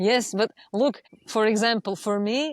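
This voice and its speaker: This woman's voice sits at a fairly high pitch, with a dry, close sound and no echo. The recording is very clean, with a silent background. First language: not English. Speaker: astrologer. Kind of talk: interview. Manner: articulate.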